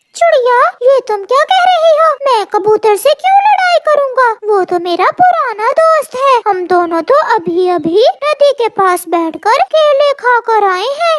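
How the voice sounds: A cartoonish character voice at an extremely high pitch moves at a fairly slow pace with hardly any pauses.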